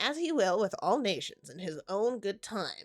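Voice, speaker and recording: A woman is speaking at a moderate pace. Her pitch is medium. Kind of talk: formal, scriptural.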